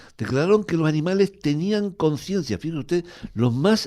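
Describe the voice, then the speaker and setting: A man with a dark, mellow tone speaks at a moderate pace. His pitch is fairly high. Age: 70s. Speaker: neighbourhood association coordinator. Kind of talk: radio interview.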